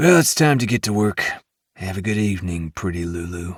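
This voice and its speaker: A man puts on a gravelly character voice with a fairly low pitch, lively intonation and a fairly quick pace. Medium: read story. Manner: crude, cocky.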